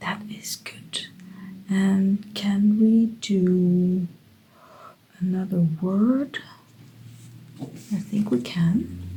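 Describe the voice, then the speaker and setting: A woman's somewhat breathy voice at a very slow pace, with ordinary pitch variation. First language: Dutch. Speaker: creative writing YouTuber. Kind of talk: casual tutorial. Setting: home studio. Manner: thinking aloud, hesitant.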